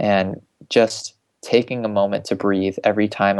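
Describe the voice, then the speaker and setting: Here a man speaks in an American accent at a moderate pace. His pitch is fairly low and his intonation is monotone and flat. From South Florida. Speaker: mindfulness teacher. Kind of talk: podcast interview.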